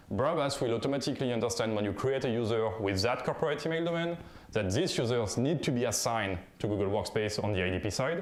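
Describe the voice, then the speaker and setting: A man with a French accent talks at a very fast pace in a medium pitch, his intonation lively and his loudness very even, with audible room echo around him. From France. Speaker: conference speaker, software founder. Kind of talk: conference talk. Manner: halting, with fillers.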